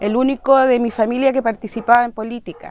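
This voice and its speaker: A woman with a high pitch speaks in a Chilean accent. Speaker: victim's sibling. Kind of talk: testimony.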